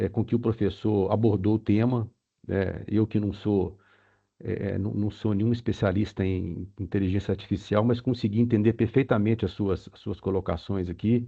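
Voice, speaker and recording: This man has a slight Minas Gerais accent and a fairly low pitch, talking at a moderate pace with fairly even intonation and big swings in loudness. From Brazil, Minas Gerais (Belo Horizonte). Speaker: webinar participant asking questions. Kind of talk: Q&A question at webinar. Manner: halting, many fillers.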